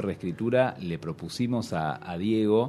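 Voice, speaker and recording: With an Argentine accent, a man speaks at a moderate pace in a fairly low, dark, mellow voice that swings very widely in pitch. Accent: Argentine Spanish (Rioplatense). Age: 30s. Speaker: film director. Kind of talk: interview. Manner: halting, many repetitions.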